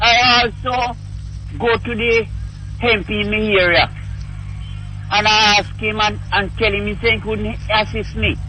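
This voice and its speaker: A man with a Jamaican accent at a fairly slow pace, with long, frequent pauses and noticeable background noise. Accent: Jamaican English with patois features. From Jamaica, Saint Mary. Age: 70s. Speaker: caller. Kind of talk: call-in radio conversation.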